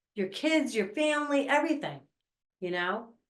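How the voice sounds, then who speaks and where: A woman speaks at a high pitch and moderate pace with very wide pitch swings, and room echo can be heard. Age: 60s. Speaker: podcast host. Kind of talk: casual chat.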